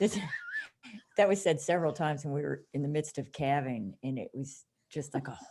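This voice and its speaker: A woman speaks at a moderate pace. The recording is very clean, with a silent background. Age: 60s. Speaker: cattle farmer. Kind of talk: casual chat.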